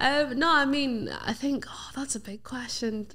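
A woman speaks with a Northern Irish accent. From Northern Ireland. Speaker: radio presenter and singer; radio presenter. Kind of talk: casual interview chat. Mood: relaxed, friendly. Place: studio. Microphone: studio mic.

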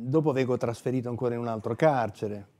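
With ordinary pitch variation, a man talks fairly quickly, the background around him quiet. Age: 60s. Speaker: author and former prisoner; interviewee. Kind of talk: book presentation interview. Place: studio. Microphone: lapel.

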